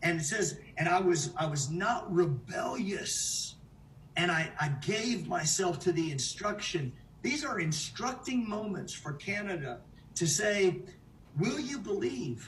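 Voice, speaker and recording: A man with an American accent speaks at a fairly slow pace in a high voice, his intonation lively and his tone animated. Noticeable background noise and audible room echo fill the recording. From United States. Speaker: preacher. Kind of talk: sermon. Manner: halting.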